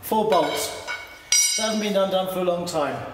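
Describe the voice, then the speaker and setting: A man with audible room echo and noticeable background noise. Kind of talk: casual commentary. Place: garage.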